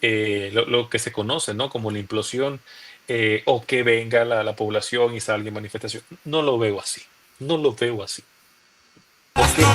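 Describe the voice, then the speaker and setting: Speaking with a Nicaraguan accent at a moderate pace, a man uses a medium pitch and ordinary pitch variation, with long, frequent pauses. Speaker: opposition youth leader, former political prisoner. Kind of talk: interview answer.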